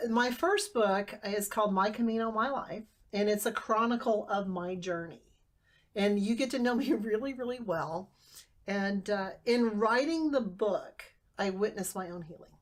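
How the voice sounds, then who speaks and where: Her voice fairly high, a woman keeps a moderate pace and lets her pitch vary in an ordinary way. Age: 50s. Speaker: author and speaker on family inheritance. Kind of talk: casual interview.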